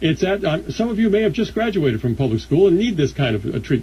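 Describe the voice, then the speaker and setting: A man with an American accent and a dark, mellow tone talks at a fairly quick pace, his pitch swinging very widely, with vocal fry. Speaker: talk radio host. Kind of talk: talk radio monologue. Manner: sarcastic.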